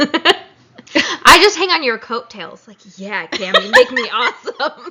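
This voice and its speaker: Over noticeable background noise, a woman speaks very slowly in a raised, projected voice at a high pitch, with very wide pitch swings and big swings in loudness. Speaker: podcast co-host and teacher. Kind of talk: casual chat.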